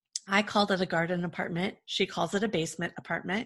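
A woman speaks in a monotone, flat intonation. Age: 40s. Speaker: event production company founder, former jazz singer. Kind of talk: interview. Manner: casual.

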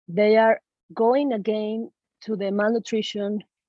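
In a Spanish accent, a woman speaks at a fairly slow pace, her fairly high voice holding fairly even intonation. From Venezuela, Caracas. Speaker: medical student and activist. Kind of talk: interview.

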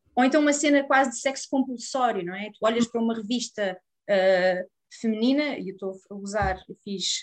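A woman with a European Portuguese accent speaks at a moderate pace in a fairly high pitch. Her pitch varies in an ordinary way, while her loudness swings widely. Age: 30s. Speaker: psychologist and sex therapist. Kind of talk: interview.

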